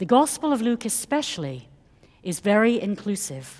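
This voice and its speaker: Speaking at a fairly slow pace with a non-native accent, a woman at medium pitch makes very wide pitch swings. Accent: foreign accent, non-American. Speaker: priest. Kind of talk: sermon. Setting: church. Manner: formal.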